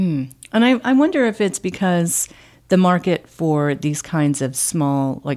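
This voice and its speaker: With an American accent, a woman uses an ordinary speaking voice at a fairly low pitch and a fairly slow pace. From Michigan. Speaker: podcast host. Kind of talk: cooking demonstration; casual chat. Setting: home kitchen.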